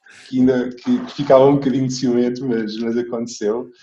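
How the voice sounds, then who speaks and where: Speaking at a moderate pace and a medium pitch, a man has an unremarkable speaking voice. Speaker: guest's son, former youth rugby player. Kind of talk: interview.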